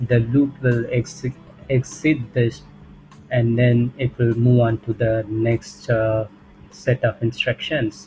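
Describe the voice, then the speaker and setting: A man with a medium-pitched voice talks at a very slow pace. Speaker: programming tutor. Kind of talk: tutorial explanation. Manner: occasional stuttering, hesitant.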